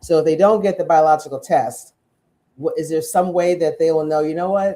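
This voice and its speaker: At a fairly quick pace, a woman speaks with a very deep, low pitch, a dark, mellow tone and ordinary pitch variation. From Jamaica. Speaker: talk show host. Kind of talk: live interview show.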